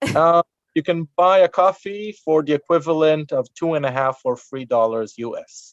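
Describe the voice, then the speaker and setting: Recorded dry and close, the sound carries no echo. A man delivers his words at a moderate pace. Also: fairly high pitch for a man, ordinary pitch variation. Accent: Israeli. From Israel. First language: Hebrew. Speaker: tour guide. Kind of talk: Q&A in webinar. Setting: video webinar.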